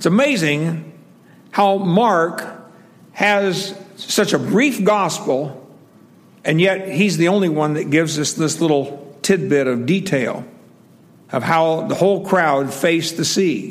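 A man with a high pitch, at a very slow pace with long, frequent pauses. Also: ordinary pitch variation. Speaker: preacher. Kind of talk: sermon. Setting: church. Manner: loud; casual, chatty.

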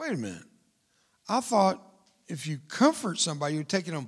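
A man with a Texan accent in an animated tone, at a moderate pace, on a very clean recording with a silent background. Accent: Texan Southern US English. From Texas. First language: Spanish. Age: 70s. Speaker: war veteran and motivational speaker. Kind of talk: sermon. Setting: church stage with audience.

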